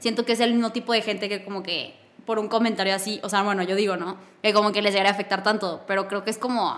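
A woman's medium-pitched voice at a very fast pace. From northern Mexico, Torreón. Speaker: podcast host. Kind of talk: casual chat. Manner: animated.

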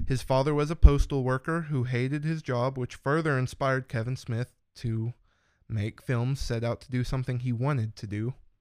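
An ordinary speaking voice from a man at a moderate pace, with fairly even intonation and a dry, close sound with no echo. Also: medium pitch for a man, very clean recording, silent background. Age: 20s. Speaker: podcast guest, longtime listener. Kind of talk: casual chat.

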